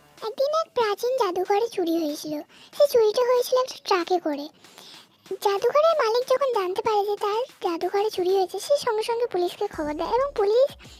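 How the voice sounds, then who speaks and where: Putting on a squeaky character voice, a woman speaks at a moderate pace with lively intonation and an extremely high pitch. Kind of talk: puzzle story narration for viewers. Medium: cartoon. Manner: conversational, addresses listeners as friends.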